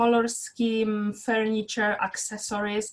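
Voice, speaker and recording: Somewhat breathy and fairly high-pitched, a woman talks with monotone, flat intonation. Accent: Polish. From Poland. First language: Polish. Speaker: interior architect, business owner. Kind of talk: interview. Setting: live video stream.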